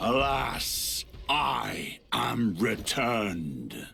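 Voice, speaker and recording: A raspy, put-on character voice from a man at a medium pitch. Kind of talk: archaic epic speech. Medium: video game. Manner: grave, commanding.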